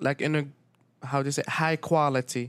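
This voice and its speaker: On a very clean recording with a silent background, a man with an Arabic accent speaks at a fairly slow pace in a fairly high pitch, his intonation monotone and flat. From Syria. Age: 20s. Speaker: restaurant owner. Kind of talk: casual interview.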